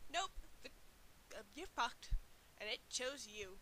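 A slow, put-on character voice from a woman, fairly high-pitched with a bright, sharp tone and big pitch swings.

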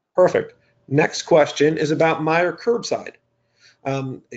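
A man with an unremarkable speaking voice talks fairly slowly, his pitch varying in an ordinary way. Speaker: webinar moderator. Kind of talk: webinar moderation. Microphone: video call.

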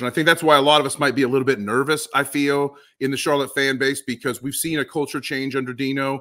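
Over a quiet background, a man speaks at a medium pitch with a bright, sharp tone. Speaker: soccer podcast co-host. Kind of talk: casual sports podcast chat. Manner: animated. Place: home room. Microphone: studio mic.

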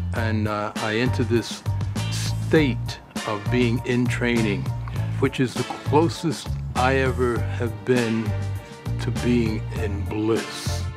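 A man is speaking. Music plays clearly behind him. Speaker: bodybuilder and personal trainer. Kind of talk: documentary interview answer. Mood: calm, reflective. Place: garden.

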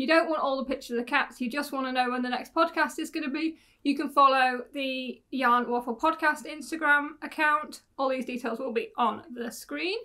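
A woman speaks in a raised, projected voice with a bright, sharp tone, ordinary pitch variation, a moderate pace and hardly any pauses, against a quiet background. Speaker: podcast host. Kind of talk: casual vlog chat. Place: home room.

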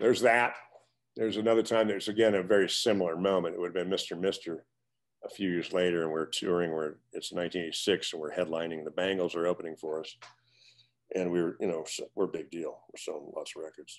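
The voice runs at a very fast pace with fairly even intonation and big swings in loudness, over a quiet background. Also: man, very deep, low pitch for a man. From US Midwest, eastern Nebraska. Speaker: retired rock guitarist; guest. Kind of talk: interview. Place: home room. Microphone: webcam.

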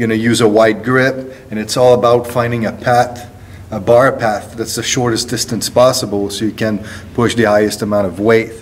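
A man speaks in a monotone, flat way. Light background noise is present. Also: moderate pace. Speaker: strength coach. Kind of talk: tutorial. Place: gym. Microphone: phone near.

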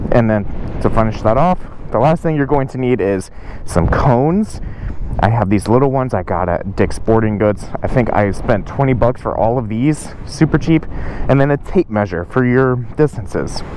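A man speaks at a moderate pace with lively intonation, the sound dry with no echo and light noise in the background. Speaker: motorcycle riding instructor. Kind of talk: tutorial. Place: street. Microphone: lapel.

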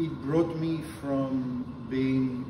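Noticeable background noise surrounds a man speaking at a very slow pace. His pitch variation is ordinary. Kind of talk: interview answer. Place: meeting room. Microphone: camera far.

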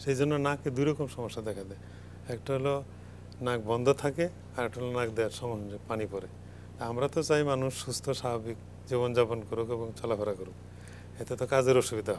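A plain, everyday voice with ordinary pitch variation comes through over light background noise. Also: man, medium pitch for a man. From Bangladesh. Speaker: medicine professor. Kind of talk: live TV health talk. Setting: studio. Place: studio. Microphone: lapel.

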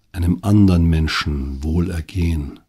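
Somewhat breathy, with a very deep, low pitch, a man speaks in a calm, soothing tone and fairly even intonation. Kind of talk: guided meditation. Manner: slow, calm, soothing, gently paced with long pauses; soft-spoken, intimate, addressing the listener directly as 'du'.

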